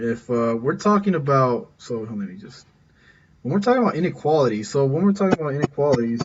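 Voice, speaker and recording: A man talks at a fairly quick pace in a somewhat breathy voice. His fairly high pitch swings very widely. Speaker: math teacher. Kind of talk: lecture. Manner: fast; halting, many repetitions and fillers.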